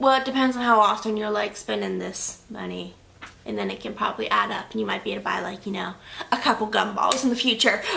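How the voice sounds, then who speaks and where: Noticeable background noise accompanies a woman speaking at a very fast pace with big swings in loudness. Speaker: beauty vlogger. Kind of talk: casual product review monologue. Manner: chatty, filler-heavy.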